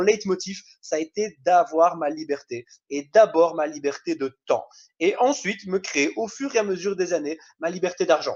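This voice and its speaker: A high-pitched man with a Belgian accent, lively intonation and a moderate pace. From Belgium. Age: 20s. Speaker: network marketing trainer. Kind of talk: online training presentation. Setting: video call.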